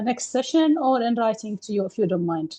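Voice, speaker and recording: This woman speaks with an Arabic accent. Her tone is dark and mellow. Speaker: study group participant. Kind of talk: casual chat. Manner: halting.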